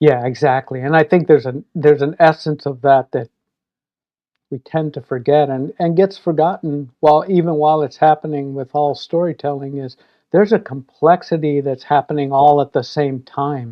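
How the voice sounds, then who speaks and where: A man's plain, everyday voice at a fairly high pitch, with fairly even intonation, big swings in loudness, and a moderate pace. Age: 60s. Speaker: filmmaker. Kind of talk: casual chat.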